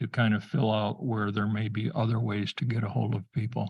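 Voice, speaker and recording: A man speaks at a medium pitch. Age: 70s. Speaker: township committee member. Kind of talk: public meeting discussion.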